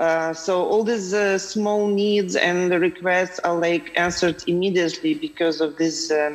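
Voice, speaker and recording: A woman speaks with a fairly low pitch and fairly even intonation. There is noticeable background noise. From Lviv, western Ukraine. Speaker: film producer. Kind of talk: panel discussion. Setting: video call.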